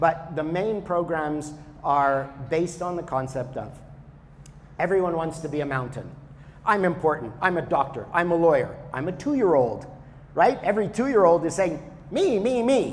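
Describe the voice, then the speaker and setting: A man speaks loudly at a high pitch with lively intonation and a moderate pace. Audible room echo surrounds the voice. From Canada. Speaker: spiritual teacher. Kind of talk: talk to an audience. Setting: yoga studio with audience.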